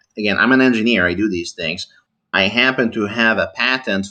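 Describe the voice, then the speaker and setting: In a quiet background, a man speaks at a moderate pace with a bright, sharp tone and ordinary pitch variation. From Italy. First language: Italian. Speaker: engineer, debate channel host. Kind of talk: heated debate. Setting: online voice call. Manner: overly formal.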